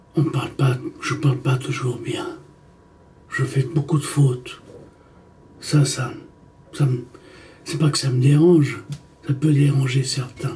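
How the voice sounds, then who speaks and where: A man's fairly high, monotone, flat delivery at a very slow pace, with long, frequent pauses. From Egypt, Italian mother. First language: Italian (speaking French). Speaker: documentary maker. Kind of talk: personal monologue to camera. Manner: halting, self-correcting.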